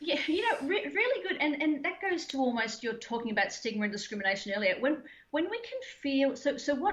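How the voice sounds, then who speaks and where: In an Australian accent, a woman with a high pitch talks very fast with very wide pitch swings. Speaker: mental health trainer and former Olympian. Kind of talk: interview. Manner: animated.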